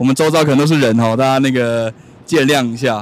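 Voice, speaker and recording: A man's voice at a medium pitch. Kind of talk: casual interview. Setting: outdoors in Times Square.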